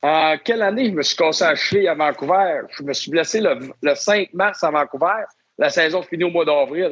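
Using a high pitch with ordinary pitch variation, a man talks at a moderate pace. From Quebec, Lac-Saint-Jean (Albanel). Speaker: NHL hockey referee. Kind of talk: interview storytelling.

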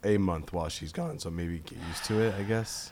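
A man talks with an American accent and ordinary pitch variation. Audible room echo surrounds his voice. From US East Coast. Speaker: podcast co-host. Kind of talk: casual chat.

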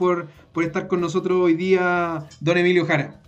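A man with a Chilean accent talks in a high pitch. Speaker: podcast host. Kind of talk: casual chat. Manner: halting.

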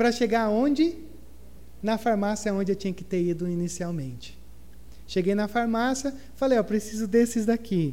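Speaking at a moderate pace with long, frequent pauses, a man uses a high, dark, mellow voice with ordinary pitch variation. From southern Brazil. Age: 30s. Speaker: pastor. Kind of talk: sermon. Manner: animated.

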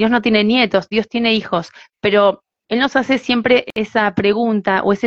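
A woman speaks with a Rioplatense accent. Her pace is fairly slow. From Argentina, Buenos Aires. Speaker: singer and evangelist. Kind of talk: interview.

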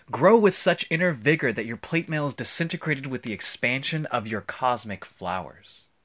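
Using a gentle tone with vocal fry, a man lets his pitch swing very widely. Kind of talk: poetry reading, original spoken word poem. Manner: reflective, gentle, with soft laughs between lines; measured, deliberate, lyrical.

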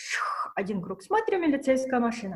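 A woman is speaking. She talks at a moderate pace. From Russia. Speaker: fashion pattern maker. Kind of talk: casual chat. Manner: animated.

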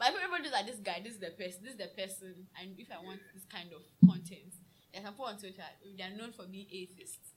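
A woman at a very fast pace, with noticeable background noise. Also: medium pitch for a woman, ordinary pitch variation. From Ghana. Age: 20s. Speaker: drinks seller. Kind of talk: casual chat.

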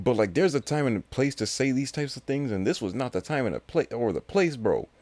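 A man with an American accent, fairly high pitch, a plain, everyday voice, lively intonation and a moderate pace. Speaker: podcast host. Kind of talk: casual solo podcast monologue. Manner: rambling, filler-heavy, casual.

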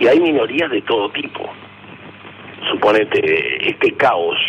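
Noticeable background noise runs through the clip. The voice is a man's. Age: 80s+. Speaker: political activist. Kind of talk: radio interview.

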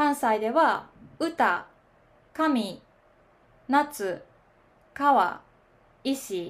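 Very slow and high-pitched, a woman talks with lively intonation and long, frequent pauses. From Kansai, Osaka, Japan. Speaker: podcaster teaching Japanese. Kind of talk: casual solo podcast monologue. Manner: conversational, friendly, explanatory.

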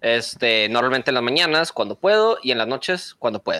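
A man speaks at a moderate pace with a bright, sharp tone and very wide pitch swings, recorded with a dry, close sound and no echo. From Mexico, Monterrey. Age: 20s. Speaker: streamer and content creator. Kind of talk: casual chat.

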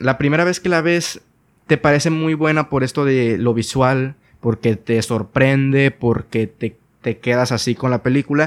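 An ordinary speaking voice from a man, medium in pitch with ordinary pitch variation and a moderate pace, on a very clean recording with a silent background and a dry, close sound with no echo. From Mexico, Sinaloa. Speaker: podcast host. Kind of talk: casual chat. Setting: call.

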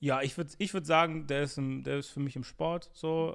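A man speaks in a normal speaking voice at a moderate pace, his pitch fairly high. The recording is very clean, with a silent background. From Germany, Bonn. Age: 20s. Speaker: YouTube interviewer. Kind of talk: casual chat.

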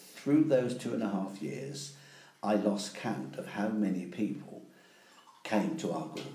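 Very slowly and with lively intonation, a man with an East Anglian accent speaks at a fairly low pitch over noticeable background noise. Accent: English (East Anglia). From England, Ipswich. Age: 70s. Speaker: interviewee. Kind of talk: casual chat.

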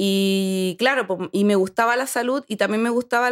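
In a very clean recording with a silent background and a dry, close sound with no echo, a woman uses a normal speaking voice at a moderate pace with ordinary pitch variation. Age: 30s. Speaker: sports nutritionist. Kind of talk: casual chat.

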